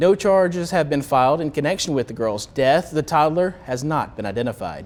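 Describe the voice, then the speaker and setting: This man has an ordinary speaking voice with a fairly high pitch. His intonation is lively and his pace fairly quick. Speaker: local TV news anchor. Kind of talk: TV news anchor read.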